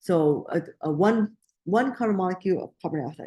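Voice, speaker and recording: A woman mumbles in a dark, mellow tone at a fairly slow pace. Her intonation is lively. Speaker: biology instructor. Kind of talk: lecture. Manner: mumbling; halting, self-correcting.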